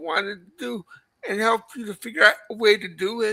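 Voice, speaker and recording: With a normal speaking voice, a woman talks at a fairly quick pace, her pitch fairly high and her pitch variation ordinary. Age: 60s. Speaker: live stream chat participant. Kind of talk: casual chat.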